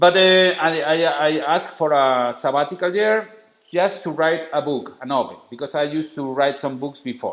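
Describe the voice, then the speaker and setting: With a strong Spanish accent, a man with a fairly high voice speaks at a moderate pace, his pitch varying in an ordinary way. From Spain. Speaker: travel writer and documentary maker. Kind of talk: interview. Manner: halting.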